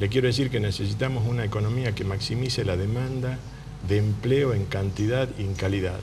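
Against noticeable background noise, a man speaks at a fairly low pitch and moderate pace with fairly even intonation. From Tucumán, northwest Argentina. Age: 40s. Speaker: political candidate, economist; candidate. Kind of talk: radio interview. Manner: formal. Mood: earnest, explanatory. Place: studio. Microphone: lapel.

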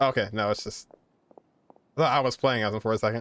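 The speaker is a man with a medium pitch. His tone is fairly bright, and his pitch varies in an ordinary way.

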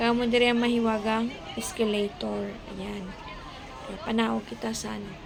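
A woman talks at a moderate pace with long, frequent pauses and big swings in loudness, while crowd noise carries on in the background. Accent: Western Visayan. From Philippines, Western Visayas (Hiligaynon-speaking). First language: Hiligaynon (speaking Tagalog). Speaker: vlogger, domestic helper; vlogger. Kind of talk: vlog walk-through. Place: street. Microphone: phone near.

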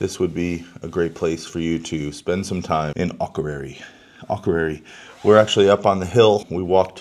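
A man speaks at a moderate pace in a very deep, low voice with fairly even intonation. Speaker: travel vlogger. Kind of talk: casual vlog chat. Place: home room. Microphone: phone near.

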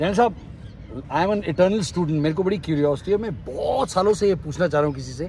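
At a moderate pace, a man speaks in a fairly high voice with a slightly mellow tone.

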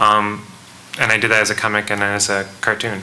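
A man speaks with an American accent. His pitch is fairly low. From Richmond, Virginia. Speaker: cartoonist. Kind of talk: panel discussion. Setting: stage with audience. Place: hall. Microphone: podium.

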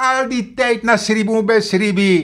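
Against a quiet background, a man projects a raised, high voice with a bright, sharp tone and ordinary pitch variation. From Suriname. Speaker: political commentator. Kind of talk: video monologue. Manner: animated; hesitant, many fillers. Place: home room. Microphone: webcam.

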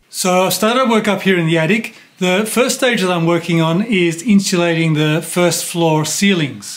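A man with a high pitch keeps a moderate pace and very even loudness, with hardly any pauses. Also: ordinary pitch variation. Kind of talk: tutorial vlog explanation. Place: home room.

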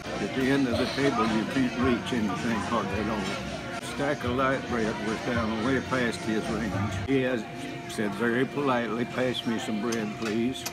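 Loud music plays in the background while a man speaks at a moderate pace with hardly any pauses. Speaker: storyteller. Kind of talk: storytelling anecdote. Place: cafe. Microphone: phone near.

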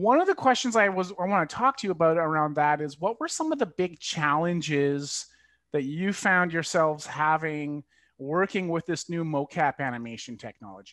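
A man talks at a moderate pace in a dry sound with no echo. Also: quiet background. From rural Manitoba, Canada. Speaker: interviewer. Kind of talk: casual interview. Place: home room. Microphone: video call.

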